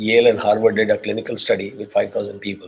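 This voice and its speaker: A man speaks with an Indian accent at a fairly quick pace. His voice is somewhat breathy, with fairly even intonation. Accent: Indian accent, kept unchanged. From South India (Tamil). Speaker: spiritual teacher. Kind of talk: lecture. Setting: class with on-site and online students.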